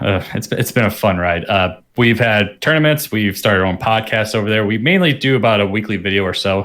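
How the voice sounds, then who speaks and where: With an American accent, a man speaks at a fairly low pitch in an ordinary speaking voice. His pace is fairly quick, with hardly any pauses and ordinary pitch variation. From United States. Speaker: gaming podcast guest. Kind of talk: casual podcast chat.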